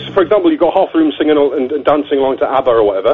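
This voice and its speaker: A man at a very fast pace, over noticeable background noise. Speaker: caller explaining silent discos. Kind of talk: casual chat. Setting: phone call.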